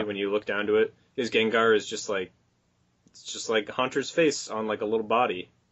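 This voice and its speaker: A plain, everyday voice: a man at a fairly low pitch, moderate pace, fairly even intonation and big swings in loudness. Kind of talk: casual podcast conversation. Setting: low-quality recording.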